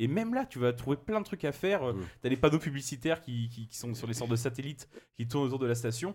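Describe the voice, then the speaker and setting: A man speaks at a very fast pace with lively intonation, his medium-pitched voice somewhat breathy. The recording is very clean, the background silent. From France, Loire region. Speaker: games journalist. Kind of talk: casual chat.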